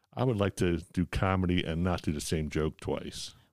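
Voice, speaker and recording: A man with an American accent and fairly even intonation, on a very clean recording with a silent background. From US Northeast (Philadelphia). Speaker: cancer survivor and amateur joke teller. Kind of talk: casual chat.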